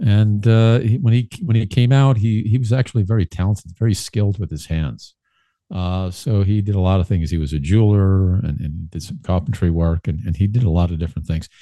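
Against a quiet background, a man with a New York accent speaks at a fairly quick pace, his fairly low pitch carrying a dark, mellow tone and ordinary pitch variation. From Brooklyn, New York City. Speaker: political commentator guest. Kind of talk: casual interview. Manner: halting, many fillers and repeats.

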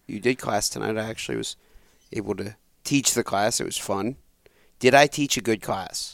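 A man with a fairly low pitch and vocal fry speaks at a moderate pace, taking long, frequent pauses. The pitch varies in an ordinary way, and the sound is dry and close with no echo. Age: 30s. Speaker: podcast host and father. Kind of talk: casual chat.

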